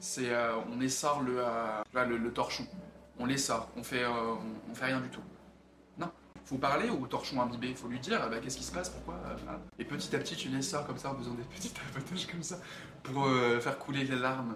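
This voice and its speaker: A man speaks at a medium pitch with ordinary pitch variation and a moderate pace. Audible room echo and noticeable background noise surround him. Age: 20s. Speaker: actor and model. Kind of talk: personal testimony interview. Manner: halting, many fillers.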